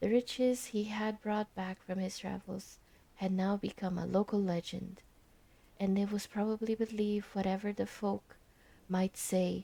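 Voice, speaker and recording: A soft-spoken woman with a medium pitch and a dark, mellow tone. She talks at a moderate pace in a flat monotone. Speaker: ASMR streamer. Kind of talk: reading aloud. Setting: live stream. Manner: halting.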